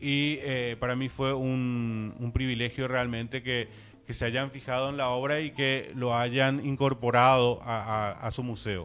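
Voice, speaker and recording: At a fairly slow pace, a man with a medium pitch talks in a monotone, flat intonation. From Paraguay. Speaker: visual artist. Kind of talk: interview.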